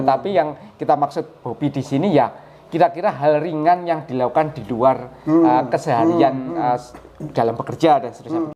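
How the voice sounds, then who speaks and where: Fairly high pitch from a man, with noticeable background noise. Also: ordinary pitch variation, fairly quick pace. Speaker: channel host and interviewer. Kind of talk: casual talk to camera.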